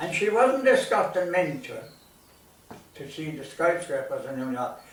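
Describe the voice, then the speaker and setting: A man speaks at a moderate pace with a Limerick accent. Noticeable background noise and audible room echo surround his voice. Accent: Irish (Limerick). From Ireland, County Limerick. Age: 80s+. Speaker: storyteller. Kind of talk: storytelling.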